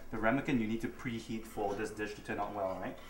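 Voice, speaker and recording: Room echo is audible around the speaker. He is a man with a medium pitch. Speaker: cooking show host. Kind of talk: cooking tutorial. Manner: casual, chatty with laughs.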